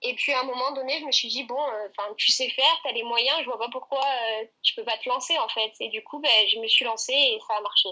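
A woman's high, raised, projected voice, fairly quick with hardly any pauses and ordinary pitch variation. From southern France, Aix-en-Provence. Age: 20s. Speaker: gymnast and student. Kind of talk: interview.

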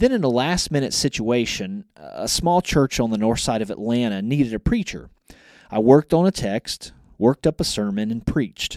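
a normal speaking voice at a moderate pace with lively intonation, dry and close with no echo, on a very clean recording with a silent background. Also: man, medium pitch for a man. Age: 40s. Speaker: college department chair and ministry teacher. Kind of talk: podcast interview.

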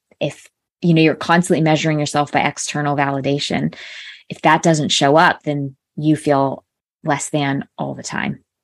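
The speech has a General American accent and a monotone, flat intonation. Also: woman, very deep, low pitch for a woman, moderate pace. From US Northeast, Connecticut. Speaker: life coach. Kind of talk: interview.

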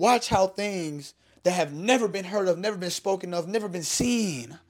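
A man talks in an animated tone with ordinary pitch variation. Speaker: faith-based podcast host. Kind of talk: motivational faith talk. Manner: fast.

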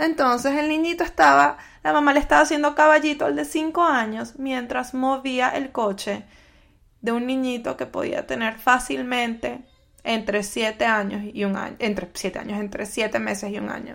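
A woman speaks at a moderate pace with a high pitch and very wide pitch swings. The recording is very clean, with a silent background. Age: 30s. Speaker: podcast host. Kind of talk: solo podcast monologue. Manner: conversational.

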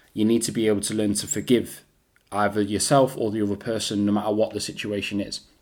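A man with an East Midlands accent and fairly low pitch, very fast and in a monotone, flat intonation. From England, Derby. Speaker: podcast host. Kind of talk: motivational monologue.

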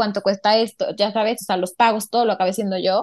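Against a quiet background, a woman talks at a very fast pace with fairly even intonation, in a dry, close sound with no echo. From Mexico, Puebla. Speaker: designer, podcast guest. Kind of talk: casual chat.

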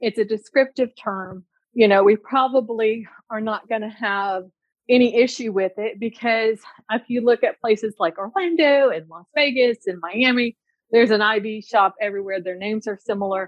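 Using a normal speaking voice, a woman talks at a moderate pace with fairly high pitch, ordinary pitch variation and big swings in loudness. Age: 40s. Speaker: nurse practitioner and clinic owner. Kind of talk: consultation call. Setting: call.

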